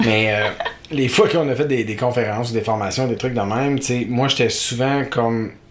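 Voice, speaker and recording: Over noticeable background noise, a man talks at a medium pitch. His pace is moderate and his intonation fairly even. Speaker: podcast host. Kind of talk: casual chat, playful banter.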